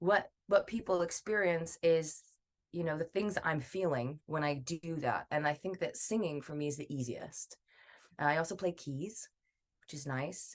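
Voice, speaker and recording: In a normal speaking voice, a woman talks at a fairly slow pace, her fairly low pitch showing ordinary variation. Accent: American. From US, Idaho. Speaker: singer. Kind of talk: podcast interview.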